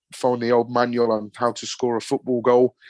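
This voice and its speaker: Here is a man speaking. He talks with a Birmingham accent. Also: quiet background. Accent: broad Brummie. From Birmingham, England. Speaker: football podcast presenter, fan. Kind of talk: casual chat. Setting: podcast interview.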